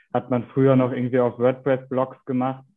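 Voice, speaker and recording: A man is speaking at a moderate pace. His pitch is medium. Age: 20s. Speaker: PR and content manager at a bike parts maker. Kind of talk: interview.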